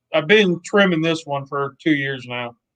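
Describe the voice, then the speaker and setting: A man with an American accent talks at a fairly high pitch. His pitch varies in an ordinary way. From Ohio. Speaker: cooking channel creator. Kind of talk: interview. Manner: stutters a lot.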